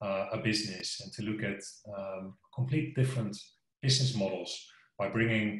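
A somewhat breathy man's voice with ordinary pitch variation and audible room echo. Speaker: company sales executive. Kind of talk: interview answer. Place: home room. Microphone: video call.

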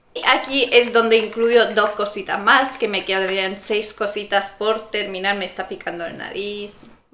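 A woman's flat, monotone delivery at a fairly slow pace, with big swings in loudness and audible room echo. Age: 20s. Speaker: beauty vlogger. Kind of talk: product review vlog. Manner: casual, hesitant with fillers. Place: home room. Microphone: camera far.

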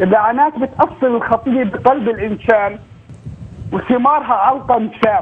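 Fairly slow delivery with ordinary pitch variation over noticeable background noise. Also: man, extremely high pitch for a man. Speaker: caller. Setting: phone call.

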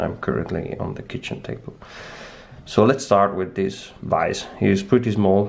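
With a strong Italian accent, a man talks at a moderate pace in a fairly low pitch. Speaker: lockpicking hobbyist. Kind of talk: casual product review to camera. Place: kitchen. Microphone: phone near.

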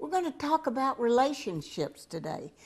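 Speaking at a moderate pace, a woman delivers her lines. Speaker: show host. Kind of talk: casual talk show monologue. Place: home room.

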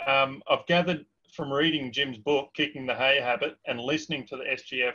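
The man has an Australian accent and fairly even intonation. He speaks at a moderate pace against a quiet background. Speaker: webinar host; webinar moderator. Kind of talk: Q&A moderation. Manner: hesitant, many fillers. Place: home room. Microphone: webcam.

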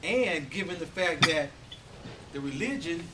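Over loud background noise, a man talks at a high pitch. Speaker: motivational speaker. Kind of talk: Toastmasters club speech, storytelling. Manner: inspirational, storytelling delivery. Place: hall. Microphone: camera far.

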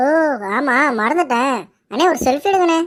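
Doing a cartoonish character voice, a woman speaks high and at a moderate pace with lively intonation, in a very clean recording with a silent background.

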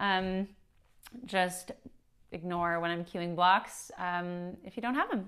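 A woman talks at a moderate pace while the background remains quiet. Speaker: yoga instructor. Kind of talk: tutorial. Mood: friendly, a bit nervous, laughing. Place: home room.

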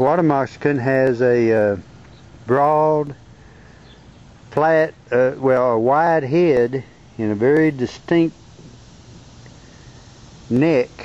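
In a Southern US accent, a man speaks at a very slow pace with ordinary pitch variation and long, frequent pauses, in a dry sound with no echo. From Arkansas. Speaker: amateur naturalist. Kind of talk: casual narration over home video. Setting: outdoors. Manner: halting, casual. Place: garden. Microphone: phone near.

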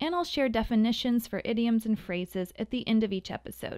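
A woman's fairly high voice, an ordinary speaking voice, moves at a fairly quick pace with ordinary pitch variation in a very clean recording with a silent background. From US Midwest (Missouri). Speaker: communication coach, podcast host. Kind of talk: scripted podcast monologue.

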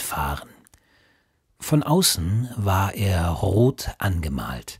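A man speaks in a soothing tone at a fairly low pitch, somewhat breathy, with very wide pitch swings. The recording is very clean, with a silent background. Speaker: audiobook narrator and father reading for his son. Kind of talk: children's bedtime story reading. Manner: calming, soothing.

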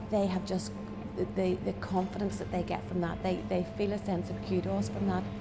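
Loud background noise behind a woman's moderately paced speech. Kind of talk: interview answer. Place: cafe.

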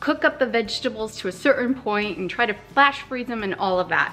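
With faint music in the background, a woman talks at a fairly quick pace using ordinary pitch variation. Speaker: cooking vlogger. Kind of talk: casual tutorial vlog chat. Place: kitchen. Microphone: phone near.

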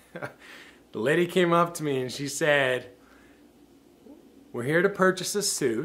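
A man talks, his pitch rising and falling in an ordinary way. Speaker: formal wear store employee. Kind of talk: casual talk to camera. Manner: reflective. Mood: reflective, earnest. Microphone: webcam.

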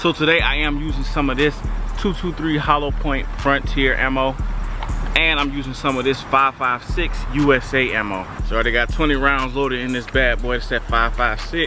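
Music plays behind a man speaking at a moderate pace. He leaves long, frequent pauses, and the sound is dry with no echo. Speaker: gun channel host. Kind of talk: product review vlog. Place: open country. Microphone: phone near.

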